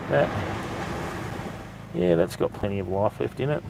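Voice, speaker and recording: A man speaks at a moderate pace with an Australian accent. Noticeable background noise can be heard. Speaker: fishing live streamer. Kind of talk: casual live stream commentary. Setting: outdoors on a beach at night.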